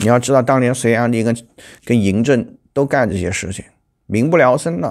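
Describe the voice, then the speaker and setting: The pace is moderate and the pitch variation ordinary. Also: man, quiet background. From China. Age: 40s. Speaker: political commentary YouTuber; political commentator. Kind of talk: news commentary monologue; commentary. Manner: halting, many fillers. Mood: critical, opinionated. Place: home room. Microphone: lapel.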